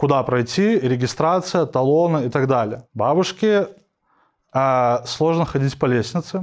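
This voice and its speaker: Fairly slow speech with lively intonation plays over a quiet background. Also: man. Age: 20s. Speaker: UX/UI designer and instructor. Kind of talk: casual interview.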